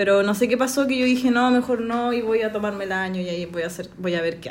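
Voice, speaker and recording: In a Chilean accent, a woman with a fairly high pitch speaks very fast amid audible room echo. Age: 20s. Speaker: journalism graduate, podcast guest. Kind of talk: casual chat.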